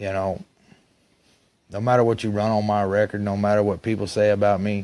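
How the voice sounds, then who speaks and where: Fairly quick and monotone, a man talks with an Alabama accent and flat intonation. His voice is fairly low in pitch, with a dark, mellow tone. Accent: Southern US (Alabama). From Alabama, Gadsden (US South). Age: 30s. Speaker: stepson of an accuser. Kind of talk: monologue to camera.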